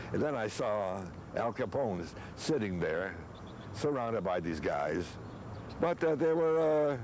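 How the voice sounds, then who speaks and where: A man speaks at a moderate pace with very wide pitch swings, leaving long, frequent pauses, and audible room echo surrounds his voice. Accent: American. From Chicago. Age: 90s. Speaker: grandfather interviewed about family history. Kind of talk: oral history interview. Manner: halting with repetitions.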